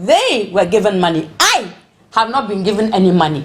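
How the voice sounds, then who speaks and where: Over noticeable background noise, a woman speaks at a moderate pace, her medium pitch varying in an ordinary way. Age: 60s. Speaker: protester. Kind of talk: interview. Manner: animated.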